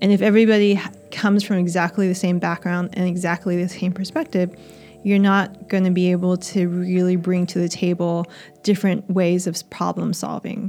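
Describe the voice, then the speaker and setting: A woman with an American accent, medium pitch, monotone, flat intonation and a fairly quick pace, with music in the background. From United States. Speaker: astrophysicist. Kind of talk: interview.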